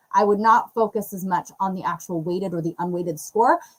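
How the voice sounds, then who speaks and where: This woman talks at a fairly quick pace. Her pitch sits in the medium range. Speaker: real estate YouTube coach, co-host. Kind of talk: live Q&A tutorial. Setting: livestream. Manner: fast.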